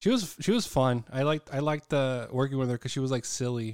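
A man's medium-pitched delivery with ordinary pitch variation, in an unremarkable speaking voice. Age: 30s. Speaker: podcast host. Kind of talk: casual chat.

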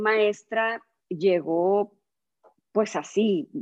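A woman talks at a very slow pace, her pitch medium and its variation ordinary. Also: quiet background. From Sonora, northwest Mexico. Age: 40s. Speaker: yoga teacher. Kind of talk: casual interview chat.

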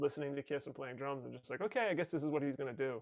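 A man's normal speaking voice, fairly high in pitch, with an American accent, fairly even intonation and a quiet background. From New York area (Rockland County). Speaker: performer and audio producer. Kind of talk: casual chat.

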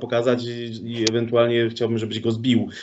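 A man at a moderate pace, with noticeable noise in the background. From Poland, Sosnowiec. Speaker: podcast host. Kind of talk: casual interview.

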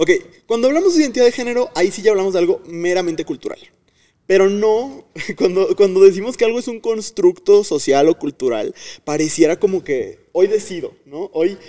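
At a fairly quick clip, a man speaks in a high pitch with a dark, mellow tone and lively intonation. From Mexico, Tamaulipas. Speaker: educator and content creator. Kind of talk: casual chat.

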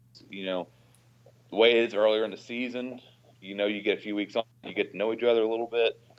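Speaking at a very fast pace yet with long, frequent pauses, a man keeps a monotone, flat intonation while his loudness swings widely. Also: medium pitch for a man. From Oklahoma, Tulsa area. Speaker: firefighter and sports writer. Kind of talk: casual chat.

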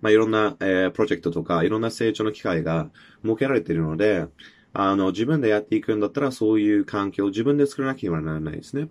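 Against a quiet background, the speech runs at a very fast pace with lively intonation. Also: man, fairly low pitch for a man. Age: 20s. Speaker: podcast host. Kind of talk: solo monologue. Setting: self-recorded video. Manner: halting, many filler words.

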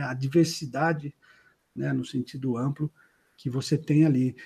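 At a moderate pace, a man speaks in a somewhat breathy voice with a dark, mellow tone. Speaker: company founder and CEO. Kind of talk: interview. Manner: halting, many repetitions and fillers.

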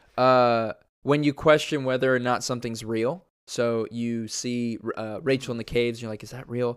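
A man talks at a moderate speed, captured on a very clean recording with a silent background. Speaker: podcast co-host. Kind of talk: casual chat. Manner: animated, casual.

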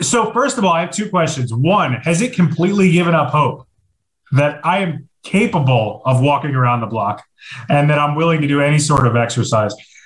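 A man with a fairly high, somewhat breathy voice speaks at a fairly quick pace with lively intonation. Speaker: podcast host. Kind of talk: casual banter. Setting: video call. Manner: animated, joking.

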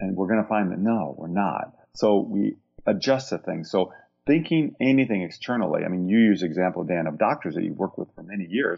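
Talking at a fairly quick pace, a man with an American accent uses lively intonation and a fairly low pitch. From US Midwest, Iowa. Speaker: clinical psychologist. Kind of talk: interview.

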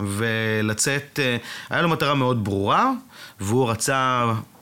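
A man speaks at a fairly slow pace. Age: 40s. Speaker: advertising executive. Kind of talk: casual chat.

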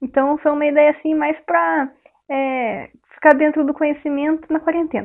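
Her pitch is high, and she is a woman speaking at a moderate pace. The intonation stays fairly even. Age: 20s. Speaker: biology student. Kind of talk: radio interview.

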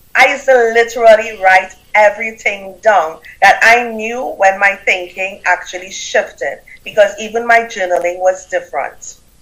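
With a Trinidadian accent, a woman speaks in a fairly high pitch with ordinary pitch variation. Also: moderate pace. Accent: Caribbean, Trinidadian. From Trinidad and Tobago. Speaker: business coach and author. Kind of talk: interview, storytelling. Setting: video call, live stream.

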